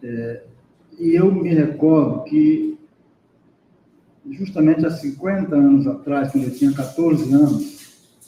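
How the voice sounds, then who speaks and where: In a dark, mellow tone, a man speaks fairly slowly at a fairly high pitch with ordinary pitch variation. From Brazil, Piauí. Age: 60s. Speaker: professor, seminar speaker. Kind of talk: academic panel discussion.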